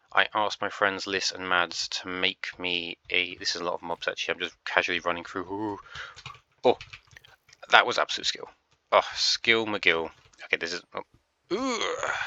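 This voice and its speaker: A man speaks with long, frequent pauses. The sound is dry and close with no echo. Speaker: gaming youtuber. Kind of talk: casual gaming commentary. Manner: fast; halting.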